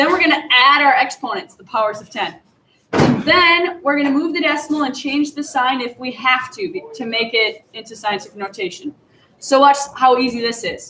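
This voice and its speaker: A woman projects a raised voice at a high pitch with lively intonation. Her loudness swings widely. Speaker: math teacher. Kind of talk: tutorial. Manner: fast.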